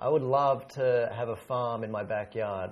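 A man talks with an Australian accent. His pitch sits in the medium range. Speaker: English teacher. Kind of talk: casual word game chat.

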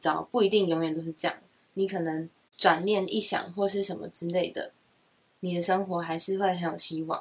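Speaking at a fairly quick pace, a woman with a Taiwanese accent has a medium pitch. Her intonation is fairly even. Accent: Taiwanese Mandarin. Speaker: podcast co-host. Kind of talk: casual chat.

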